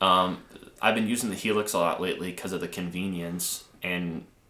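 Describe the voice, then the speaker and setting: A man's very deep, low voice at a moderate pace, flat and monotone, with audible room echo. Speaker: guitarist co-host; co-host. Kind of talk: casual live stream chat about music gear. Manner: halting, filler-heavy. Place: studio.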